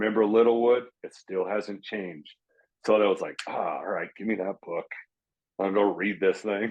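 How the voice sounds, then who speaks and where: A man speaks in an ordinary speaking voice at a moderate pace, his fairly low pitch held in fairly even intonation. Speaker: former pro baseball player. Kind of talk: casual chat. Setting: podcast recording.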